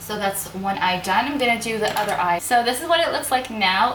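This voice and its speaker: With audible room echo and noticeable background noise, a woman talks using lively intonation. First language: not English. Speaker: beauty youtuber, makeup artist. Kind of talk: casual chat; makeup tutorial. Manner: casual, chatty.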